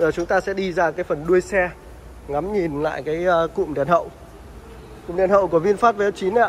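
A man talks with a high pitch. Light background noise can be heard. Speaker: car dealer vlogger. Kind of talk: commentary. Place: garage. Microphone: phone near.

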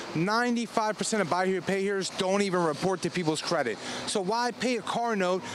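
With an American accent and a high pitch, a man talks with ordinary pitch variation over noticeable background noise, the sound dry with no echo. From Philadelphia area. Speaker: car dealership salesman. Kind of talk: car dealer pitchman hard sell, rattling off cash offers and features. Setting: on location at a car dealership lot. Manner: excitable, repetitive pitch opening nearly every sentence with 'Listen'; fast, punchy list-style delivery. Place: street. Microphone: handheld.

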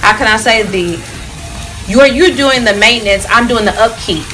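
Light background noise under a moderate pace. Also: woman. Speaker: salon client vlogger. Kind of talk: casual conversation with stylist. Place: shop.

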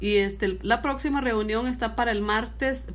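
A woman talks at a medium pitch with fairly even intonation. Noticeable background noise can be heard behind her. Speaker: local government official. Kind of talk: interview. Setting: on location at community meeting.

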